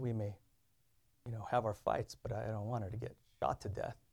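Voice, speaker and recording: This man talks fairly quickly at a medium pitch with vocal fry and fairly even intonation, leaving long, frequent pauses. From Indonesia, raised in US. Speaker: preacher sharing testimony. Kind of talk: sermon with personal testimony.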